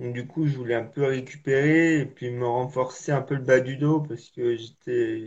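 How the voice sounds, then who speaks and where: A man's somewhat breathy, medium-pitched voice at a very slow pace, with fairly even intonation. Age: 20s. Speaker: para-athlete. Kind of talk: interview testimony. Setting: live video call. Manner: halting, repetitive.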